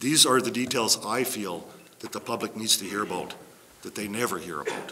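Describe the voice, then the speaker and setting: Lively, fairly quick speech from a man at a medium pitch, with noticeable background noise. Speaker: resident speaking at public hearing, former councillor. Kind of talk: public hearing statement. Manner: loud.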